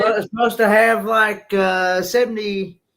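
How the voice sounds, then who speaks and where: A man with a Southern US accent, high pitch and fairly even intonation at a moderate pace. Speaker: peer support group member. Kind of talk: casual chat. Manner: halting.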